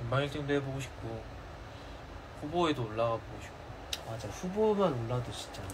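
Long, frequent pauses break up the speech, set against noticeable background noise. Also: man, lively intonation, moderate pace. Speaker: K-pop idol. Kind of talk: casual livestream chat with fans; casual live stream chat. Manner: excitable. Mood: cheerful, playful. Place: home room. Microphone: phone near.

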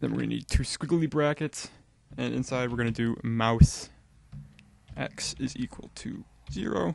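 At a moderate pace, the voice comes through with a dry sound that has no echo. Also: man. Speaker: game development tutor. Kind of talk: tutorial. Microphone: studio mic.

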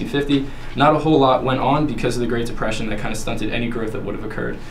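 A man talking at a very fast pace over light background noise. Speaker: presenter. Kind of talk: class presentation. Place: classroom. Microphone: camera far.

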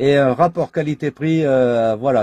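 A man with a fairly high pitch and a dark, mellow tone, ordinary pitch variation, dry sound with no echo, and a quiet background. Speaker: CB radio operator. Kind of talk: radio contact chat. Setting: CB radio transmission. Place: home room.

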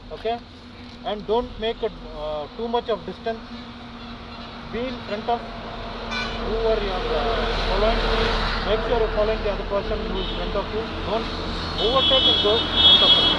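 Fairly quick speech set against loud background noise. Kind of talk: group safety briefing. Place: street.

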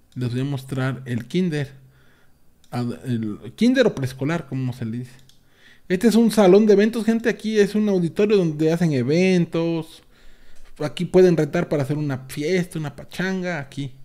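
Against a quiet background, a man talks with lively intonation in a fairly high, dark and mellow voice. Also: moderate pace. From Mexico, Veracruz (Mariano Escobedo, near Orizaba); Veracruz, Mexico. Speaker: gaming youtuber; streamer. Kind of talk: casual video tour. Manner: halting, repetitive. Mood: nostalgic, relaxed. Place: home room.

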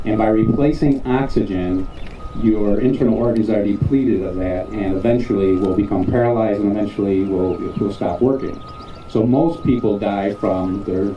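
A man speaks at a fairly low pitch, with audible room echo and light background noise. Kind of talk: public safety talk to students. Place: street.

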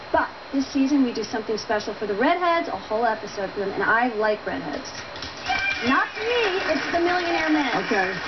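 Loud background noise surrounds the recording. A woman speaks over it at a fairly quick pace. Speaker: talk show guest. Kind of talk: interview answer. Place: studio. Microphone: lapel.

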